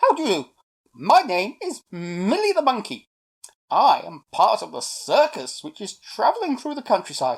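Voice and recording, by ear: A woman's put-on character voice at medium pitch, with very wide pitch swings, a slightly husky edge and a moderate pace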